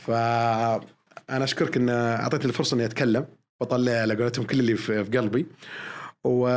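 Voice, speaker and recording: A man talks at a moderate pace in a medium pitch, with very even loudness, fairly even intonation and a normal speaking voice. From Saudi Arabia, Eastern Province. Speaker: airline pilot. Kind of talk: podcast interview. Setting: studio.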